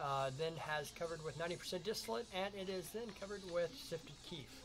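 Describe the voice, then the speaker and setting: Music plays in the background as a man speaks at a very fast pace. His pitch is high, with ordinary pitch variation. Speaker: livestream host. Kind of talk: live commentary. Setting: live stream.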